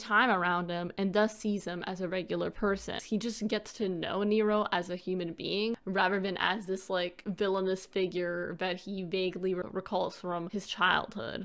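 An unremarkable speaking voice from a woman, medium in pitch, with fairly even intonation at a moderate pace. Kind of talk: video essay narration.

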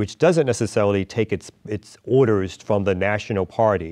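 The background is quiet. A man speaks in a fairly low pitch. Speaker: interview guest. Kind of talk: interview answer. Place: studio. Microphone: lapel.

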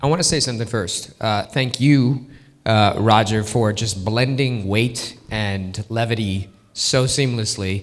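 A man speaks at a fairly slow pace with a medium pitch and ordinary pitch variation. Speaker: pastor. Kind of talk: sermon intro and prayer in church. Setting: church. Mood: warm, appreciative. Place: stage. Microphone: handheld.

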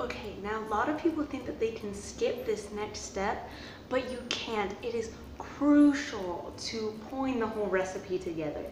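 A woman talks at a moderate pace with few pauses and a fairly high pitch. Her pitch varies in an ordinary way against clear background noise.

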